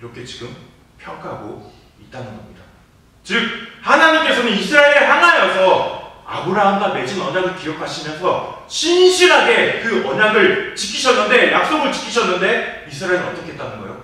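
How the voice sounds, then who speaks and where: Amid noticeable background noise and audible room echo, a man with a high pitch uses a raised, projected voice at a moderate pace, with very wide pitch swings and big swings in loudness. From South Korea, Jeolla. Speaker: pastor. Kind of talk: sermon.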